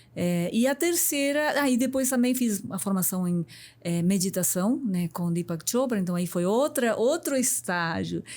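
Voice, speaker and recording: A woman with a Uruguayan accent and a fairly high voice swings very widely in pitch on a very clean recording with a silent background. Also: fairly slow pace. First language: Spanish (speaking Portuguese). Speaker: business executive and mentor. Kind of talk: podcast interview.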